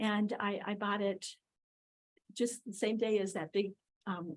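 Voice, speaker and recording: Somewhat breathy, a woman with an American accent speaks at a medium pitch and a moderate pace. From US Upper Midwest (Minnesota, Wisconsin). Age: 70s. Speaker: property owner applicant. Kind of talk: public hearing testimony. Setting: city board meeting. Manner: halting, many fillers.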